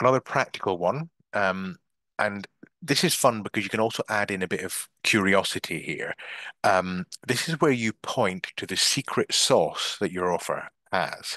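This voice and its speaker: In a dry recording with no echo and a quiet background, a man with a fairly low pitch and a bright, sharp tone talks at a moderate pace with lively intonation. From Scotland. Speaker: business coach; marketing coach. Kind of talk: online masterclass / webinar. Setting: video call (Zoom live stream) from a bedroom. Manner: hesitant filler words (um, uh). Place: home room. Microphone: headset.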